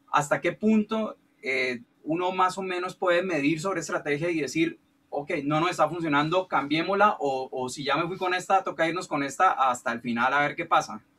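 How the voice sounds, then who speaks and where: A man speaks at a high pitch. His tone is bright and sharp. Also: ordinary pitch variation, moderate pace. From Colombia. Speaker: music producer and songwriter. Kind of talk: question in online Q&A. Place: studio. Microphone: video call.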